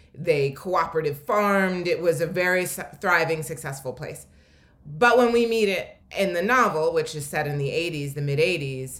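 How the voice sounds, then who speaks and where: Speaking at a moderate pace with an American accent, a woman with a fairly low pitch is heard with audible room echo. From Philadelphia. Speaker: novelist. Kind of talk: literary interview. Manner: halting with many fillers.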